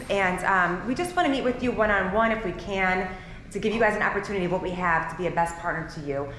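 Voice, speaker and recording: Audible room echo and noticeable background noise surround a woman speaking with lively intonation. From Ohio, Cleveland. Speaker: title company representative. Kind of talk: short business introduction at a party. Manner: loud.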